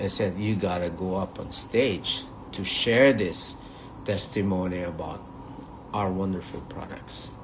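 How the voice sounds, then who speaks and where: With a very deep, low pitch, a man speaks at a fairly slow pace and fairly even intonation. There is audible room echo along with noticeable background noise. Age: 60s. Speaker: network marketing leader. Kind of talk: motivational talk.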